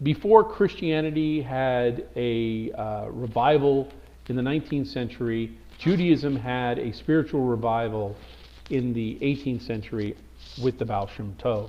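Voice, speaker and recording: Speaking at a fairly slow pace, a man has an American accent. His pitch is medium, with ordinary variation. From US Northeast, Brooklyn, New York. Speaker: teacher. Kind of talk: lecture. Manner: hesitant, many fillers and restarts.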